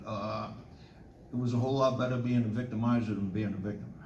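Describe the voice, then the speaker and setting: Speaking at a very fast pace, a man keeps to a medium pitch. Noticeable background noise and audible room echo fill the recording. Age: 70s. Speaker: author. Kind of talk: testimony. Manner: halting.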